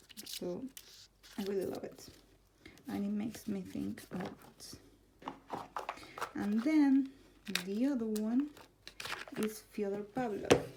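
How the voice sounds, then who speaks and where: A woman speaks at a very slow pace with long, frequent pauses and noticeable background noise behind her. Her pitch is fairly high, with ordinary pitch variation. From Argentina, Buenos Aires. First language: Spanish. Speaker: tarot content creator. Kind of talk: casual vlog, answering tag questions. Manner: halting, with fillers.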